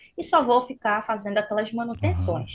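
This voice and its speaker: Her voice is fairly high and somewhat breathy, belonging to a woman. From Pernambuco, Brazil. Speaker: public procurement instructor. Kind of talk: explanatory interview chat.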